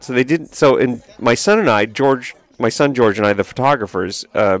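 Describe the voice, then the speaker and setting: A man's normal speaking voice with an American accent, medium pitch, and lively intonation. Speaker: podcast host. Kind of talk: casual chat. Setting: live from England.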